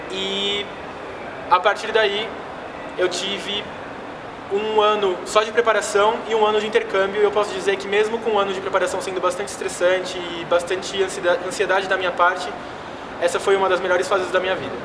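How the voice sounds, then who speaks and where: High-pitched male speech, fairly quick yet broken by long, frequent pauses, monotone and flat, with audible room echo and noticeable background noise. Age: 20s. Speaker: exchange student. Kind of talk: personal vlog testimony.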